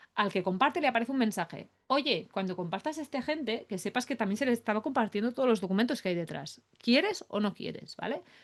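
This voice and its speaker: Very fast, lively speech from a woman with a fairly high pitch, over a quiet background. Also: hardly any pauses. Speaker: AI productivity expert. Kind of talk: webinar demo tutorial. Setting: online webinar. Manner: animated.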